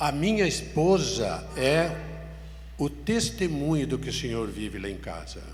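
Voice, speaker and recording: Audible room echo around a man's fairly slow delivery. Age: 70s. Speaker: pastor. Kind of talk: sermon.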